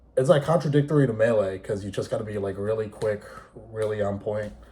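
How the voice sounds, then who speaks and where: With an American accent, a man speaks at a fairly low pitch, somewhat breathy, with ordinary pitch variation. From New York City area. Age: 20s. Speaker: esports player and content creator. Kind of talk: casual vlog monologue. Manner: casual, unscripted with pauses.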